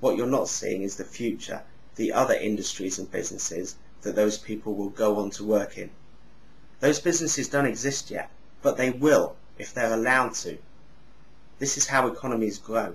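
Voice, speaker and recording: Somewhat breathy, a man speaks with ordinary pitch variation and long, frequent pauses. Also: medium pitch for a man, moderate pace. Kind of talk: casual talk to camera. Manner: sounds angry but is not.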